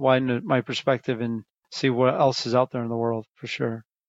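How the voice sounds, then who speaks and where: Against a quiet background, a man talks at a very fast pace with a dry, close sound and no echo. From Chicago area, US Midwest. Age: 50s. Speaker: restaurant owner. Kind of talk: interview.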